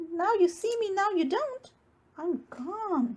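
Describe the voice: A woman's put-on character voice, extremely high, slightly mellow in tone, with lively intonation at a slow pace.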